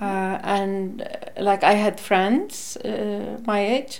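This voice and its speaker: The speaker has an Icelandic accent and talks at a very slow pace. Audible room echo surrounds the voice. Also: woman. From northern Iceland, Akureyri. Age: 60s. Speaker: retired nurse, former activist. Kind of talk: interview. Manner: halting.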